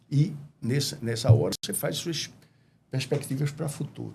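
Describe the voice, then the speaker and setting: A man's fairly high-pitched voice with vocal fry, at a moderate pace. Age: 70s. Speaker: businessman, restaurant franchisee. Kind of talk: interview.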